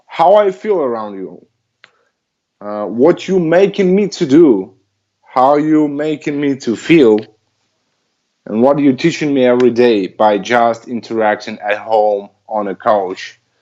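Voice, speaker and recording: A man with a non-native accent speaks fairly slowly, leaving long, frequent pauses. His dark, mellow voice sits at medium pitch but swings very widely. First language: not English. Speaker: dog trainer. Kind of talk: casual chat. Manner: halting.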